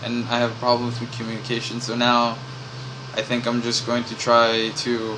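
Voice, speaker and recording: A man mumbles at a moderate pace in a monotone, flat delivery at medium pitch. Room echo is audible, and there is noticeable background noise. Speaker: vlogger. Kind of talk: personal vlog monologue. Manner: mumbling; rambling, hesitant with many fillers.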